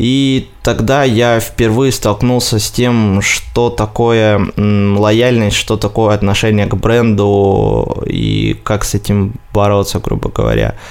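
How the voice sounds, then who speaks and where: With noticeable background noise, a man at fairly low pitch speaks very slowly in a monotone, flat intonation, with very even loudness and hardly any pauses. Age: 20s. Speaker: marketing agency director. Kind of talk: interview.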